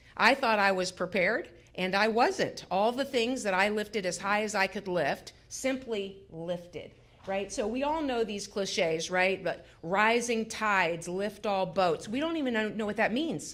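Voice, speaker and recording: A woman talks at a fairly slow pace with ordinary pitch variation. Hers is an ordinary speaking voice, medium in pitch. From Florida, Pinellas County. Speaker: mental health center executive, speaker. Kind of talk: talk at a community town hall. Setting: public library event with audience. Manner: conversational, many fillers and repetitions.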